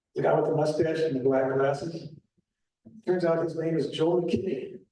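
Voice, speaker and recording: A man speaks at a moderate pace in a fairly high pitch with fairly even intonation. His tone is dark and mellow, and there is audible room echo. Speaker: local historian presenter. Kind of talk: public talk with slides.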